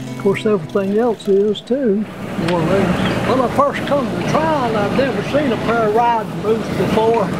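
Loud background noise sits behind the voice. A man speaks at a moderate pace. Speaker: shoe repairman. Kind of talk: interview answer. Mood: warm, reminiscing. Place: workshop.

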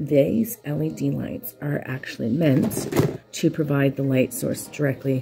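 Clear music plays behind a woman whose very deep, low pitch shows ordinary variation. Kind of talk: casual tutorial vlog. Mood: excited, upbeat. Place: home room. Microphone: phone near.

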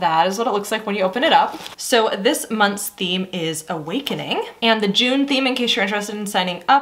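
A woman speaks at a fairly quick pace with hardly any pauses. Her pitch varies an ordinary amount. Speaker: beauty subscription box reviewer. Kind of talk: casual vlog chat. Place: home room.

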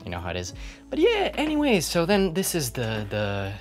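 Faint music in the background behind a man talking at a moderate pace. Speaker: hostel resident vlogger. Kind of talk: casual vlog chat. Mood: playful, joking. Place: home room. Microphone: phone near.

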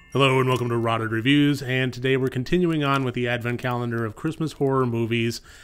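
A man with a serious tone and fairly even intonation. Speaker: horror film reviewer. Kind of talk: film review. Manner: somber, serious tone. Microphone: studio mic.

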